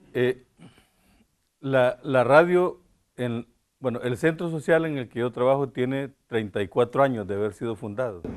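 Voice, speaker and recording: The delivery runs at a fairly quick pace but breaks into long, frequent pauses. Pitch variation is ordinary. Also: man, medium pitch for a man. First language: Spanish. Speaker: Jesuit priest and human rights defender. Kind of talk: public talk through an interpreter. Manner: halting.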